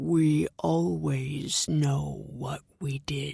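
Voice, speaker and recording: The put-on character voice has a very deep, low pitch and very wide pitch swings. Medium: read story.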